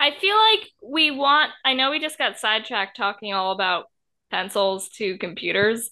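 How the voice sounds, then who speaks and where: Fairly high-pitched woman with an unremarkable speaking voice, lively intonation and a moderate pace. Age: 20s. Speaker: podcast co-host. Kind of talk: casual chat.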